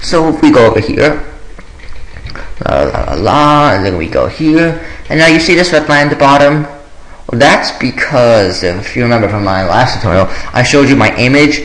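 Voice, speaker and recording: A man speaks at a moderate pace and a fairly high pitch, with long, frequent pauses. Noticeable background noise and audible room echo are present. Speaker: programming tutorial maker. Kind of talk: screen-recorded coding tutorial. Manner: hesitant with many fillers.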